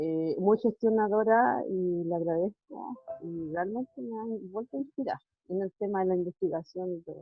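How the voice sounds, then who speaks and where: A woman speaks with a Chilean accent and lively intonation. Her pitch is medium, and her pace is fairly slow. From Chile, Puerto Montt. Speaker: schoolteacher asking a question. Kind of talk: audience question.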